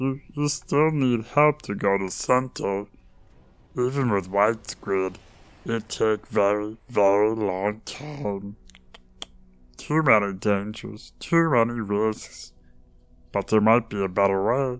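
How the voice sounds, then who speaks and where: A man puts on a character voice at a medium pitch. He speaks fairly slowly, with long, frequent pauses. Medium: audio drama. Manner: clipped, ominous, fatalistic.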